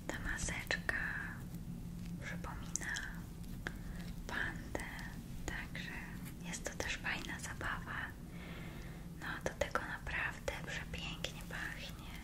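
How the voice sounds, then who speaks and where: A woman talks at a very slow pace with long, frequent pauses. Loud background noise runs underneath. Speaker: ASMR creator. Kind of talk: ASMR role-play, whispered makeup and skincare session. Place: home room.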